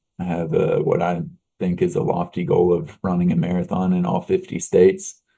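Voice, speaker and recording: A man with a slight Texan accent talks at a moderate pace. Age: young. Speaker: business owner. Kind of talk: interview.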